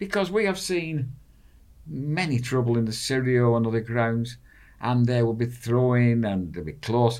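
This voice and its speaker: With a Lancashire accent, a man talks at a moderate pace in a medium pitch, his intonation lively. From northern England. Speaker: football fan, expat. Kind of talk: casual chat.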